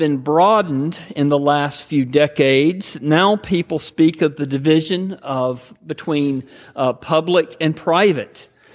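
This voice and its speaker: This man speaks at a fairly high pitch with a Southern US accent. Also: hardly any pauses. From US South, Georgia. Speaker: pastor. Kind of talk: sermon. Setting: church.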